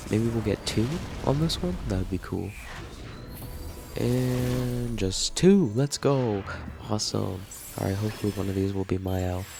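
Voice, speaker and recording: A man's very deep, low voice, fairly slow, with very wide pitch swings and noticeable background noise. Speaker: gaming youtuber. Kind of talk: gameplay commentary. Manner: casual.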